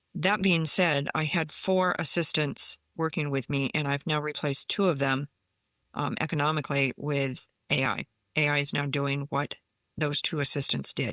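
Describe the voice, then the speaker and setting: Very deep and low for a woman, her voice carries a bright, sharp tone, fairly even intonation and very even loudness at a moderate pace, in a very clean, dry and close recording with a silent background and no echo. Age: 70s. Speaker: commercial real estate broker. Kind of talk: interview. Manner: halting, with fillers.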